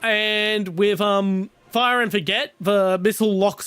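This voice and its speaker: Speaking in an Australian accent, a man comes through on a very clean recording with a silent background. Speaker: gaming streamer. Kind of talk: casual live stream chat. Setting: live stream, playing on PC. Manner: hesitant with many fillers.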